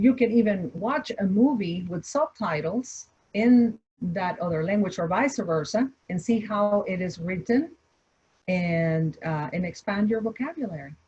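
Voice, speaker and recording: Her voice is somewhat breathy with a dark, mellow tone, sitting at a medium pitch for a woman, with lively intonation and a fairly slow pace. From Mexico, Torreón. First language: Spanish. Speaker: entrepreneur, restaurant founder. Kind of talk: online panel Q&A. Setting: video call. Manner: halting, many repetitions.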